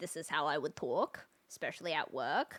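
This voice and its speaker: In an Australian accent, a woman speaks with a bright, sharp tone. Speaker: video game streamer. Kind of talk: casual live-stream chat.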